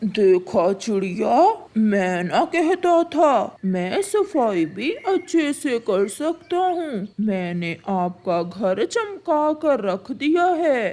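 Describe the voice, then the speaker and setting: Very slow and with hardly any pauses, a cartoonish, female-sounding character voice sits at a fairly high pitch and makes very wide pitch swings. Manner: wheedling.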